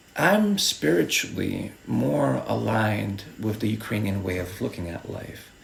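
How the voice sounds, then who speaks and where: A man speaks at a very slow pace, with noticeable background noise behind him. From eastern Ukraine, Luhansk region. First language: Russian. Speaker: video essayist. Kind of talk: personal commentary monologue.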